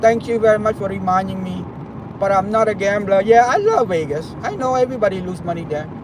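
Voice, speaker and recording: A man with a high pitch and ordinary pitch variation talks at a fairly quick pace against noticeable background noise. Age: 50s. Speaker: travel vlogger. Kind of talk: live stream chat while driving. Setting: in a car. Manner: halting.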